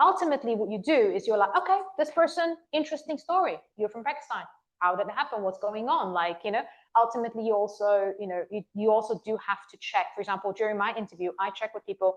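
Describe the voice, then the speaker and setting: Talking at a very fast pace, a woman with an American accent uses a fairly high pitch and lively intonation. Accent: shifted accent, once sounded Californian. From Bulgaria. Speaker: conference speaker, recruiter. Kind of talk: audience Q&A. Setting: meetup stage with audience.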